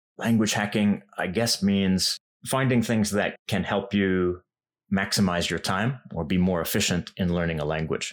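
The speaker has a western Canadian accent and a moderate pace. Pitch variation is ordinary, and the recording is very clean with a silent background. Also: man. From western Canada. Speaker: language YouTuber. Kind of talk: interview.

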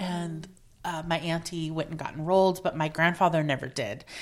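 Her voice very deep and low in pitch, a woman talks at a moderate pace. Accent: American. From Oregon, Portland area. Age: 40s. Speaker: activist and consultant. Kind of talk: interview conversation. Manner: halting, with fillers.

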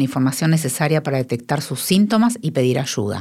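A woman with a very deep, low voice speaks fairly quickly with lively intonation. The recording is very clean, with a silent background. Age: 50s. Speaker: podcast host, nonprofit director. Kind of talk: scripted narration.

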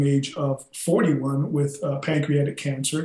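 With an American accent, a man speaks at a fairly high pitch in a somewhat breathy, dark, mellow tone. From South Texas, then Chicago from high school. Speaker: former college football player, plant-based health advocate. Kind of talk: interview.

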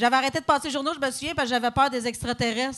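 Against noticeable background noise, a woman with a Quebec accent speaks at a high pitch with fairly even intonation. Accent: Québécois French. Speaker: comedian. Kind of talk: live podcast chat. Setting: stage with audience.

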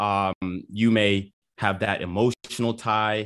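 In a dry, close sound with no echo, a man with a plain, everyday voice talks at a fairly low pitch with fairly even intonation. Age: 20s. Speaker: real estate investor, call-in guest. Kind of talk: call-in debate. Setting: video call.

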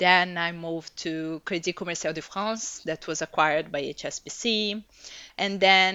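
This woman has a Portuguese accent. Her pitch sits fairly low. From Brazil. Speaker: executive coach. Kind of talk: interview. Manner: halting.

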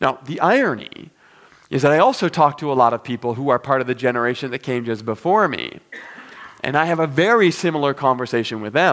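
With ordinary pitch variation, a man in a medium pitch talks at a very fast pace. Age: 40s. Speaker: pastor. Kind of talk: sermon.

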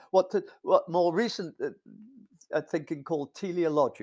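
With an English accent, a man talks at a moderate pace on a very clean recording with a silent background. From England. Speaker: philosopher of science. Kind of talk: interview.

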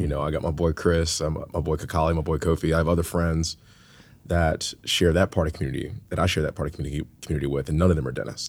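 A man with an American accent speaks very fast in a very deep, low voice with vocal fry. His intonation is monotone and flat, on a very clean recording with a silent background. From US South, Atlanta. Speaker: dentist. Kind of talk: casual chat.

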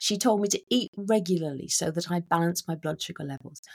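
With a British accent, a woman talks at a medium pitch with lively intonation. The sound is dry and close, with no echo. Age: 50s. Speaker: author and midlife mentor. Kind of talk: interview.

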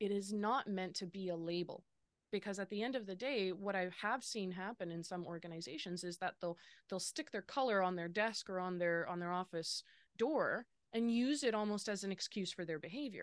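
Against a quiet background, a woman with a Western Canadian accent talks at a medium pitch and fairly quick pace with ordinary pitch variation. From Lower Mainland, British Columbia, Canada. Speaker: business consultant. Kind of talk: interview.

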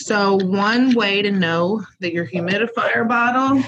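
A woman talks at a fairly slow pace and medium pitch with ordinary pitch variation. It is a plain, everyday voice. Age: 30s. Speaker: respiratory care educator, co-host. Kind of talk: casual instructional chat.

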